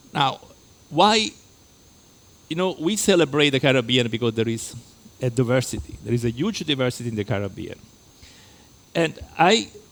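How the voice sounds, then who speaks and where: With a slight Italian accent, this man swings very widely in pitch. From Italy. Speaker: lecturer. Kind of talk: lecture. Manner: halting.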